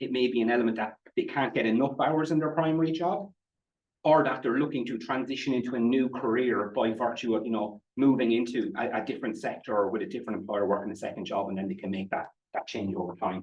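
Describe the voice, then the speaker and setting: A man at a medium pitch with an Irish Midlands accent, lively intonation and a very fast pace. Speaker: statistician presenting research. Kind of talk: conference presentation. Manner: halting, frequent repetitions and fillers.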